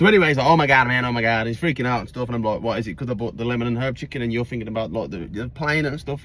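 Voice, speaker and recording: A man with an English accent. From England. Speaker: vlogger. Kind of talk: storytelling. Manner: casual, filler-heavy.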